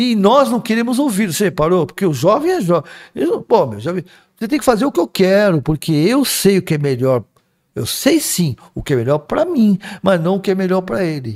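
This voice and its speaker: At a moderate pace, a man with a high pitch talks in very wide pitch swings. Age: 60s. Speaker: spiritist speaker. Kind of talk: casual chat.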